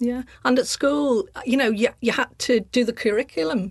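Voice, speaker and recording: Over a quiet background, a woman talks at a fairly quick pace in a normal speaking voice with ordinary pitch variation. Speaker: artist and sculptor. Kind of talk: casual interview chat.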